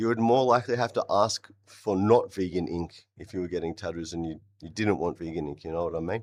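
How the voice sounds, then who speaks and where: Speaking with an Australian accent, a man moves at a fairly quick pace with ordinary pitch variation. The background is quiet. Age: 30s. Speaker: vegan live streamer and rapper. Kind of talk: live stream debate chat. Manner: animated.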